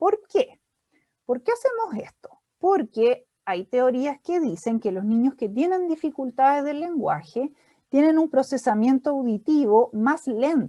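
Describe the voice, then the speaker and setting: A woman speaks at a high pitch with very wide pitch swings and a dark, mellow tone. The sound is dry and close with no echo. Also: fairly slow pace. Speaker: speech therapist. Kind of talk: lecture.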